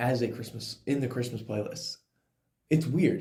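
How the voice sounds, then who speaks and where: A man's dark, mellow tone has vocal fry and lively intonation. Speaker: podcast co-host. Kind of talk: casual chat.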